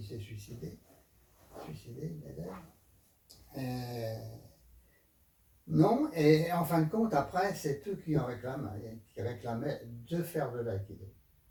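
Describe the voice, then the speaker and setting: Speaking very slowly, a man of medium pitch lets his pitch swing very widely. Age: 80s+. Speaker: aikido teacher. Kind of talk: interview answer.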